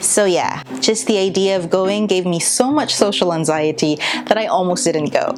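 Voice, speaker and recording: Spoken with a Filipino accent and lively intonation at a moderate pace, the voice comes with audible room echo and noticeable background noise. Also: woman, medium pitch for a woman. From Philippines. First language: Tagalog. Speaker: vlogger. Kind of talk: personal vlog monologue.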